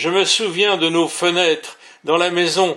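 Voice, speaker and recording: High-pitched man with a bright, sharp tone at a very slow pace. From France, Paris region (Val-d'Oise). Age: 80s+. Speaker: retired schoolteacher and author. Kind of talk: memoir narration. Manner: formal.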